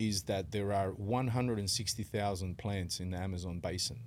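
A man's calm tone at a fairly low pitch, moderate pace and ordinary pitch variation. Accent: Australian. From western Sydney, Australia. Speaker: rapper and events manager. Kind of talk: casual interview.

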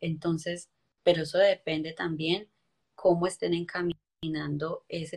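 At a fairly quick pace, a woman with a somewhat breathy, fairly low voice is heard. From Colombia, coffee region (Quindío/Valle). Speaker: motivational speaker. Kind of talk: interview testimony.

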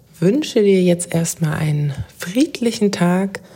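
Against noticeable background noise, a woman speaks very slowly in a calm, soothing tone at a fairly low pitch. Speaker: podcast host and life coach. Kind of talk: guided meditation. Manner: slow, calm, soothing; gentle, meditative, with long pauses.

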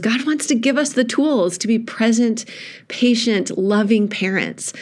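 A woman speaks at a moderate pace in a warm, animated tone with ordinary pitch variation. Audible room echo surrounds her voice. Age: 40s. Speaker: pastor. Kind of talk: podcast reflection on a sermon.

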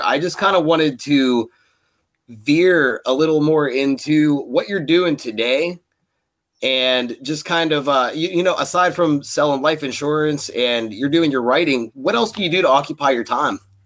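On a very clean recording with a silent background, a man uses a normal speaking voice at a moderate pace with ordinary pitch variation. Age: 20s. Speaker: podcast host. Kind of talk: casual interview chat.

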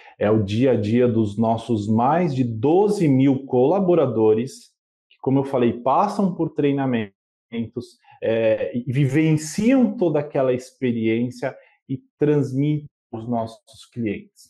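A man's medium-pitched, dark, mellow voice at a very slow pace, with lively intonation and big swings in loudness. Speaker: customer experience manager. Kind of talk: interview.

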